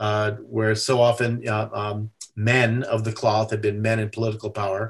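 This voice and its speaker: The background is quiet. A man talks with a somewhat breathy voice. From USA. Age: 60s. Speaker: activist, religious freedom advocate. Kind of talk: podcast interview. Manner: halting, many fillers.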